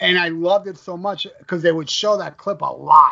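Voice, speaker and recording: Speaking at a moderate pace, a man with a high pitch uses an animated tone. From Florida, US. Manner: profane, animated.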